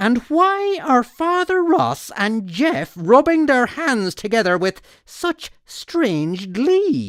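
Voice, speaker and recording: In a put-on character voice with very wide pitch swings, the speaker talks at a very slow pace with hardly any pauses, in a very clean recording with a silent background. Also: woman, high pitch for a woman. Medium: read story.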